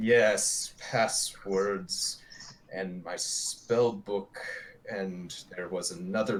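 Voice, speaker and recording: A man's put-on character voice, fairly low in pitch, delivered at a very slow pace. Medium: actual play. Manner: halting, confused.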